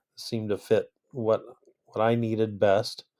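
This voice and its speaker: A man's voice at a medium pitch. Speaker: choir teacher presenting coursework. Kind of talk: recorded class presentation. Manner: hesitant, many fillers.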